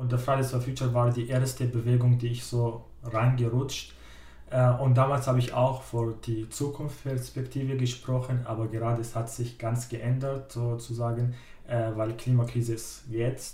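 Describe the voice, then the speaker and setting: In an Arabic accent, a man speaks at a medium pitch and moderate pace with monotone, flat intonation, and audible room echo surrounds him. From Syria. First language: Arabic (speaking German). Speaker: climate activist, trainee educator. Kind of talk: interview.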